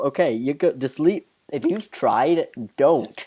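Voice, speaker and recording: This is a man speaking. His pitch is high. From northern England and Wales. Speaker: gaming youtuber and podcast host. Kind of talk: casual chat.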